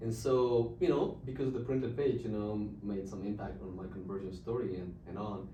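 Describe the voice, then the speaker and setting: Speaking in a Czech accent at a moderate pace with hardly any pauses, a man uses a fairly low pitch and ordinary pitch variation, with audible room echo and noticeable background noise. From Czech Republic. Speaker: missionary and literature evangelist. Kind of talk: podcast interview testimony. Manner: halting, many fillers.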